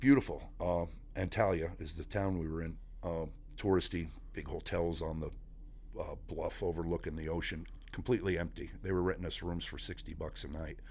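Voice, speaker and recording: A man with an American accent at a fairly quick pace, with audible room echo. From Northeast Pennsylvania, Scranton area. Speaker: navy veteran and company employee. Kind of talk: casual interview.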